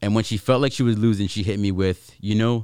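In a very clean recording with a silent background, a man with a fairly low pitch speaks at a fairly quick pace. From Canada, New Westminster. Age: 20s. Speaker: podcast host. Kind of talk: casual chat.

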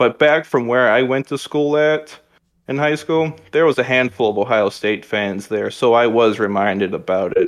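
A man with an American accent speaks at a moderate pace in an unremarkable speaking voice, medium in pitch, with ordinary pitch variation. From Michigan. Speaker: sports podcast guest. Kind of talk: casual chat.

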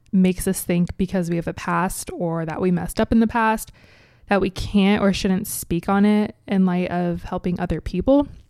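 At a moderate pace, someone speaks with an American accent in a very clean recording with a silent background. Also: woman. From US Midwest, Cincinnati, Ohio. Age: 20s. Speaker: podcast host. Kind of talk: casual solo talk.

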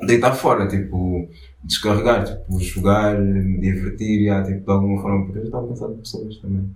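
Amid audible room echo, a man with a fairly low pitch speaks at a fairly quick pace, his intonation fairly even but his loudness swinging widely. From Angola. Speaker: artist collective founder. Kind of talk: casual interview. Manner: halting, many fillers.

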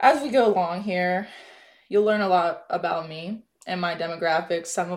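In an ordinary speaking voice with an American accent, a woman talks at a moderate pace, her pitch fairly low with ordinary variation. The recording is very clean, with a silent background. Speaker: mental health podcast host. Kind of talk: personal monologue.

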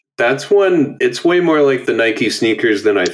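With a western Canadian accent, a man talks at a moderate pace. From Alberta, Canada (Edmonton). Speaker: podcast host. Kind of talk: casual chat. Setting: video call.

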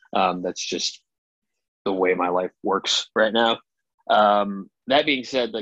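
In an ordinary speaking voice, a man talks at a fairly slow pace with a fairly low pitch. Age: 30s. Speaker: punk band vocalist. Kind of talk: casual interview. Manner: rambling, many fillers.

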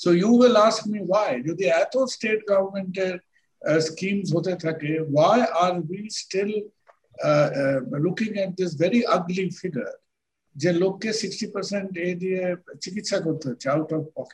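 High pitch for a man, with ordinary variation in pitch. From Kolkata, India. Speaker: doctor. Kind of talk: interview.

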